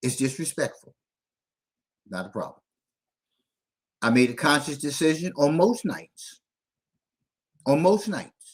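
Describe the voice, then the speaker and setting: Lively intonation marks a man's fairly high voice with vocal fry, moving at a fairly slow pace with long, frequent pauses. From Philadelphia, US. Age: 60s. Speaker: parenting show host. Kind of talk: livestream monologue. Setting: TikTok live stream. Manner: candid, animated.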